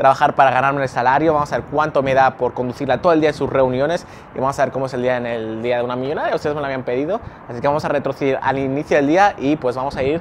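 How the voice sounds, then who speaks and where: A man talks at a very fast pace with fairly even intonation. Light background noise sits behind him. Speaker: vlogger. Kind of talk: casual vlog chat. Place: street. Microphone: lapel.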